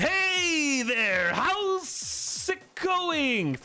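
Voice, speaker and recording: A man speaks in a put-on character voice at an extremely high pitch. Light background noise can be heard. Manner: exaggerated, excited, big inflections.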